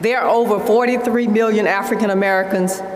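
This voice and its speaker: At a moderate pace and with ordinary pitch variation, a woman speaks amid audible room echo and light background noise. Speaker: conference host. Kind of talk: prepared speech. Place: hall. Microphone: podium.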